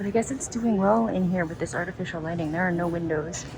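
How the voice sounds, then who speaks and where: A woman whispers, with audible room echo. Music plays in the background. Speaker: plant content creator. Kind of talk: vlog tour narration. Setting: airport, public place. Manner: whispering in public; casual, upbeat.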